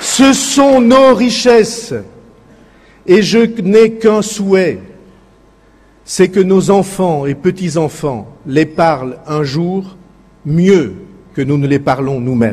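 Here a man speaks at a high pitch with very wide swings. He goes very slowly, with long, frequent pauses. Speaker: politician. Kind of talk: political speech at a rally.

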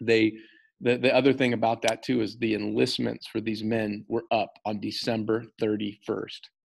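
A man speaks at a moderate pace in a monotone, flat delivery with vocal fry. The background is quiet. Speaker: history teacher. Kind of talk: lecture. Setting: recorded video lesson. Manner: casual, many filler words. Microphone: webcam.

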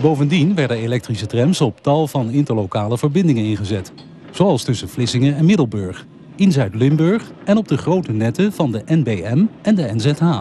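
With very wide pitch swings and a fairly high pitch, a man speaks at a moderate pace over noticeable background noise. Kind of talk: vintage film narration, scripted voice-over. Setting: voice-over on historic film footage. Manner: measured, formal, documentary-style delivery; even, informative, steady pace.

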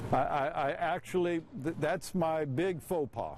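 Fairly slow speech, a dry sound with no echo, and noticeable background noise. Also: man. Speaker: public address announcer. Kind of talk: interview answer. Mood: amused, storytelling. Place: stadium.

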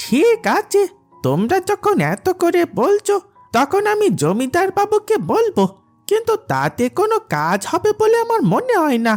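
Faint music plays behind a cartoonish character voice that moves at a fairly slow pace.

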